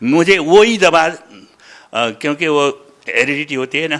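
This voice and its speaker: A man with a fairly high pitch and a bright, sharp tone makes very wide pitch swings. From Nepal. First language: Nepali (speaking Hindi). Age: 70s. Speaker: religious follower giving testimony. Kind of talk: testimony. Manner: halting.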